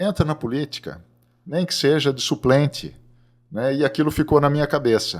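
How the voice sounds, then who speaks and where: The recording is very clean with a silent background. A man with a fairly high pitch uses a plain, everyday voice at a moderate pace with ordinary pitch variation. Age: 60s. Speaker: agronomist and seed company president. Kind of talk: podcast interview.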